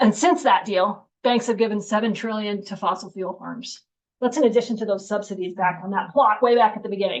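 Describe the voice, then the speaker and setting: An American accent marks this woman's fairly high voice. She talks at a fairly quick pace with ordinary pitch variation. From US Northeast, western Massachusetts. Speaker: climate science speaker. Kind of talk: lecture. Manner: fast; casual, halting with fillers.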